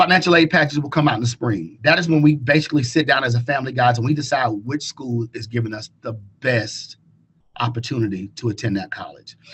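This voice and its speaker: At a very fast pace, a man speaks with medium pitch and ordinary pitch variation. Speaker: college counselor. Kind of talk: webinar presentation.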